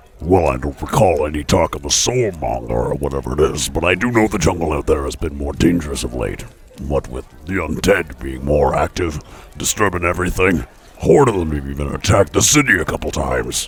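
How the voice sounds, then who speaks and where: A man speaks at a fairly quick pace in a put-on character voice. His pitch is very deep and low. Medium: actual play. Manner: calm, matter-of-fact.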